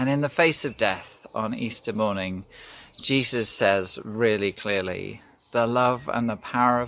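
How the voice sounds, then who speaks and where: A man speaks in an ordinary speaking voice at a fairly low pitch. He goes at a fairly slow pace with ordinary pitch variation. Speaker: pastor. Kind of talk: sermon.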